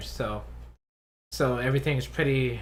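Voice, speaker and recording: A man talks fairly slowly, and the room's echo is audible around his voice. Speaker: YouTuber, tokusatsu reviewer. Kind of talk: casual live stream chat. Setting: live stream. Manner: halting, many repetitions.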